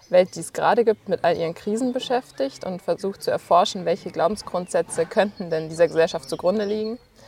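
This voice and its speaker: A woman with a medium pitch talks at a fairly quick pace. The sound is dry and close with no echo, though noticeable background noise is present. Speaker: volunteer gardener. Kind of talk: casual interview.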